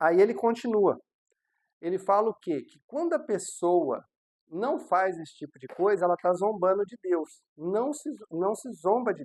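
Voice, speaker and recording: A fairly slow delivery with a Brazilian accent. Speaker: pastor. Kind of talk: sermon.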